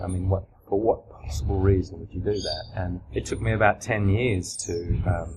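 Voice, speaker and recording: Over noticeable background noise, a man with an Australian accent speaks in a very deep, low pitch with ordinary pitch variation. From Australia (country towns). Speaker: crime novelist. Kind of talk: interview. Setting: writers festival.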